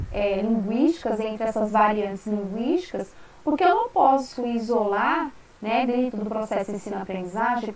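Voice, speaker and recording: Noticeable background noise runs under this recording. A woman with a fairly high voice speaks at a moderate pace. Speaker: university lecturer. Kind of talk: online lecture. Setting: live web class.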